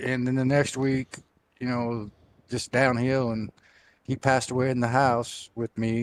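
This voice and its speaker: An unremarkable speaking voice from a man, medium-pitched and moderately paced, dry and close with no echo, on a very clean recording with a silent background. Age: 60s. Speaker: sim racing driver. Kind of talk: post-race interview.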